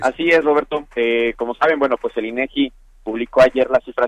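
A man's unremarkable speaking voice at medium pitch, fairly quick in pace, with a dry, close sound and no echo. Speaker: economic analyst. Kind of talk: interview.

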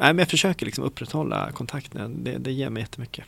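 The tone is bright and sharp. A man is talking at a medium pitch. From Stockholm, Sweden. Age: 40s. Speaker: city director. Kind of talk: interview conversation.

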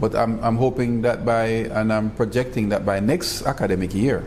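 A man speaks at a fairly low pitch and a moderate pace. His intonation is fairly even, with noticeable background noise behind him. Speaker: university college president. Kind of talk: interview.

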